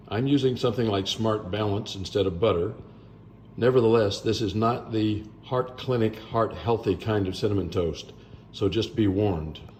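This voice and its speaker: At a moderate pace, a man with a fairly low pitch speaks in a somewhat breathy voice with ordinary pitch variation. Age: 70s. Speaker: blues musician making a cooking video. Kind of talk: cooking tutorial. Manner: casual, jokey asides.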